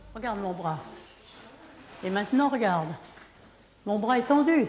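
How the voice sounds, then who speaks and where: Noticeable background noise and audible room echo surround this recording. A woman with a fairly high pitch talks at a moderate pace with lively intonation. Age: 80s+. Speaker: martial arts instructor. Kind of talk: interview; class instruction. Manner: energetic.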